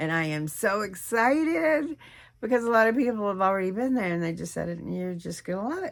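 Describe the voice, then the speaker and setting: Animated in tone, a woman with an American accent talks fairly quickly at a medium pitch, with very wide pitch swings. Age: 60s. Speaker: weight loss vlogger. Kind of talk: casual vlog monologue.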